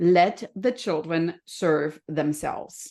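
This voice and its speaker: Against a quiet background, a woman with a slight German accent speaks with a fairly low pitch. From Germany. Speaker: health and happiness coach. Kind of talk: podcast interview.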